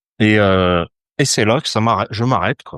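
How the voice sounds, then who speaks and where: Against a quiet background, a man talks at a moderate pace and medium pitch. The sound is dry and close, with no echo. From France, Saint-Étienne. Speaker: astrologer. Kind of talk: podcast interview. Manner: hesitant, many fillers.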